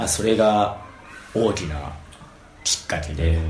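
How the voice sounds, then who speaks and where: A man talks at a moderate pace with lively intonation. The room echo is audible, and there is noticeable background noise. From Japan, Fukui Prefecture. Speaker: tennis coach. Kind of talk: casual interview.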